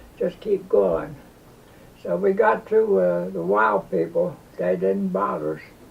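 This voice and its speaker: A man speaks very slowly while noticeable background noise fills the clip. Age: 90s. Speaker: war veteran. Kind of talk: storytelling. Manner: halting.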